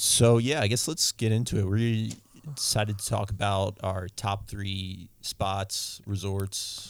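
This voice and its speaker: A man with an American accent and a normal speaking voice talks at a fairly slow pace and fairly low pitch, with fairly even intonation and hardly any pauses, on a very clean recording with a silent background. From Maryland. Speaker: podcast host. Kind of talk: casual chat.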